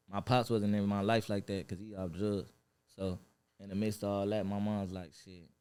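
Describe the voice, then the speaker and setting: With an American accent, a dark, mellow voice speaks at a moderate pace in a monotone, flat intonation. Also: man, fairly low pitch for a man. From Los Angeles (Watts) and Inland Empire, California. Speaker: rap artist. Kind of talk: podcast interview. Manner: casual, filler-heavy.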